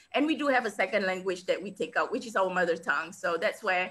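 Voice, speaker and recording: A woman speaks in an animated, bright and sharp tone at a medium pitch. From Singapore. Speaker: international speaker and business coach. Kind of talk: interview. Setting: video call.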